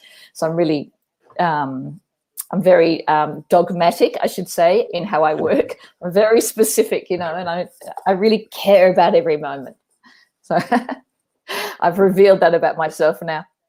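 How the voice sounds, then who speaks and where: A woman's fairly low voice with a dark, mellow tone, moderate pace, ordinary pitch variation and long, frequent pauses. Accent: Australian. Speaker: performance artist, theatre director. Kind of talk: live interview. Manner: passionate, animated.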